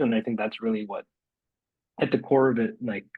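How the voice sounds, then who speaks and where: Ordinary pitch variation in a man's voice of medium pitch. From Chicago suburbs, Illinois (born in India, moved at about 7). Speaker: city government innovation director. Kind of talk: interview conversation. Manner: many fillers and self-corrections.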